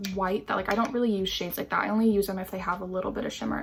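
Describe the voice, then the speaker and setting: Music plays in the background. A woman speaks at medium pitch. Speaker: beauty youtuber. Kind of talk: makeup tutorial. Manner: casual, lots of filler words.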